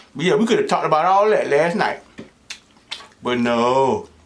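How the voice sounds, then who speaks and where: Lively intonation from a man with a fairly high voice, over noticeable background noise. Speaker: mukbang host. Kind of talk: casual talk to camera.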